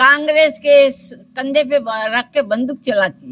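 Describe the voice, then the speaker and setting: A woman speaks in a high-pitched voice. Her pitch varies in an ordinary way. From Ratlam district, Madhya Pradesh, India. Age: 80s+. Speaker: rural elderly villager. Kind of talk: interview answer. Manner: outspoken, plain-spoken.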